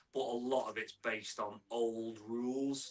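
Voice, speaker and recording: A man with a northern English accent. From northern England (near Manchester). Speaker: mountain biking content creator. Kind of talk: casual chat.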